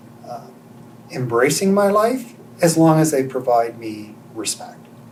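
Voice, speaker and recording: Over noticeable background noise, a man at a medium pitch talks fairly slowly, with very wide pitch swings and big swings in loudness. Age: 60s. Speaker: interviewee sharing life story. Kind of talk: interview testimony.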